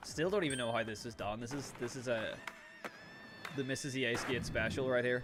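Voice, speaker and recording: A man at medium pitch and a fairly quick pace, with long, frequent pauses, audible room echo and noticeable background noise. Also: ordinary pitch variation. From Northern Ireland. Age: 20s. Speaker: gaming streamer. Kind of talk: casual live stream chat.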